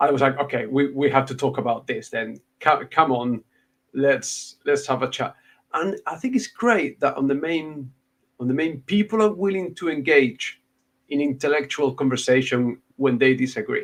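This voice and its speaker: With a Spanish accent, a man talks at a moderate pace in a fairly high voice with ordinary pitch variation. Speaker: booktuber, podcast host. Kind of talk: casual chat.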